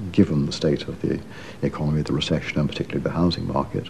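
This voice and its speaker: Over noticeable background noise, a man talks very fast. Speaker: former Treasury official interviewed. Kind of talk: reflective documentary interview.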